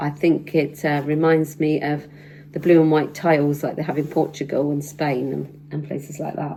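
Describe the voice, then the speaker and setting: A woman speaks with a British accent at a very deep, low pitch. Her intonation stays monotone and flat. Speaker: sewing vlogger. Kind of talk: casual tutorial vlog. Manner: hesitant, many fillers.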